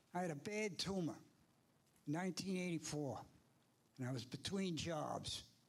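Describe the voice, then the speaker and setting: A man with an American accent, ordinary pitch variation and audible room echo. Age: 70s. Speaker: public commenter, Navy veteran. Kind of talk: public comment at town board meeting. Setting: town board meeting hall. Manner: animated.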